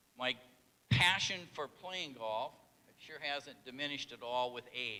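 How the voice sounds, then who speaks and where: Speaking at a fairly slow pace with a northern Minnesota accent, the man has a medium pitch and a bright, sharp tone. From northern Minnesota, International Falls. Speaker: hall of fame inductee. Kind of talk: acceptance speech.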